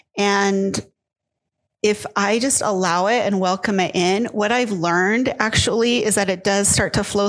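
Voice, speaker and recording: At a moderate pace, a woman with an ordinary speaking voice talks at a medium pitch with fairly even intonation. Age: 50s. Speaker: author and grief coach. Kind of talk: interview.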